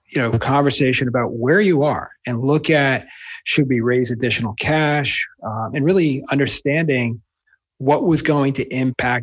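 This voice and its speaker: In a quiet background, a man with a slight New Jersey accent speaks at medium pitch with ordinary pitch variation. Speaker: wealth manager and author. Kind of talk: interview answers.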